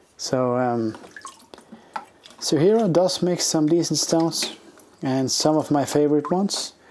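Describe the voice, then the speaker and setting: Long, frequent pauses in a relaxed tone, with noticeable background noise. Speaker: knife sharpener. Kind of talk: casual talk to camera. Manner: hesitant, relaxed.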